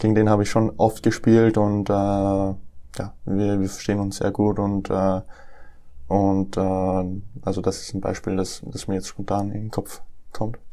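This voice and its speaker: A man talks at a fairly slow pace in a fairly low, dark, mellow voice with monotone, flat intonation. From Austria, Lower Austria. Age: 20s. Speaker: professional tennis player. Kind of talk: interview. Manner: hesitant, many fillers.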